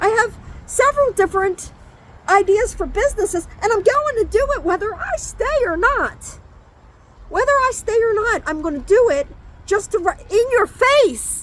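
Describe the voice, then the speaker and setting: The voice is loud, with lively intonation at a moderate pace and noticeable background noise. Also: woman, extremely high pitch for a woman. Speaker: conspiracy vlogger. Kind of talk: casual monologue vlog. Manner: rambling, halting.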